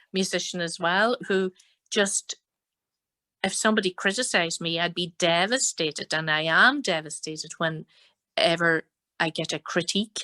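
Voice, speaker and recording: With a Donegal accent, a woman talks at a moderate pace in a fairly low voice with a bright, sharp tone. The sound is dry and close with no echo, and the background is quiet. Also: ordinary pitch variation. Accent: Donegal Irish. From Ireland, Donegal. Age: 60s. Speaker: fiddle player and singer. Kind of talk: interview.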